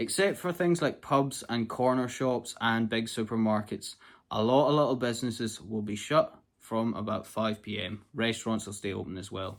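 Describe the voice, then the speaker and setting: A man with a Scottish accent, medium pitch and ordinary pitch variation, recorded very cleanly against a silent background. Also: moderate pace. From Scotland, Southern Uplands. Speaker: travel vlogger. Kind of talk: casual tutorial. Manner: casual, conversational with fillers.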